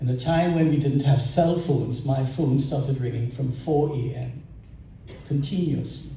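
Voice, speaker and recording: A man's fairly high voice, with ordinary pitch variation, carries audible room echo. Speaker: lawyer. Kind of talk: tribute speech. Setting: luncheon event with audience.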